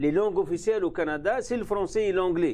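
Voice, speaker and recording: The voice carries an Arabic accent and ordinary pitch variation. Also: man. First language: Arabic (speaking French). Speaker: university vice-dean. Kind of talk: interview. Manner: halting.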